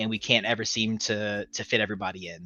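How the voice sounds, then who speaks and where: Speaking at a very fast pace, a man keeps his voice at a medium pitch. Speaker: security consultant. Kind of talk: webcast discussion. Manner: stutters.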